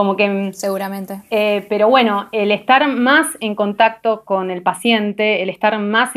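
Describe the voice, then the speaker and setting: A woman's normal speaking voice, medium in pitch, fairly slow, with fairly even intonation. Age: 30s. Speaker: biochemist and doctoral researcher. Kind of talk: casual interview.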